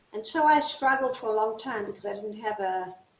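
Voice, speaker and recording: Audible room echo surrounds a woman with a fairly high pitch. She keeps a moderate pace and ordinary pitch variation. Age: 60s. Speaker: artist. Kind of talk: interview. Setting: video call.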